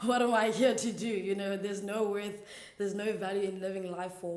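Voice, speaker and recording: A woman speaks at a fairly quick pace in a monotone, flat intonation. Room echo is audible, and background noise is noticeable. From South Africa, Eastern Cape (rural). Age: 20s. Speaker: church intern sharing faith story. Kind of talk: testimony. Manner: casual, hesitant with fillers.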